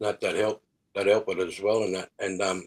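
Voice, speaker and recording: This man has an Australian accent. He talks at a moderate speed. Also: very clean recording, silent background. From Australia, New South Wales. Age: 60s. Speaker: musician. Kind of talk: interview. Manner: halting.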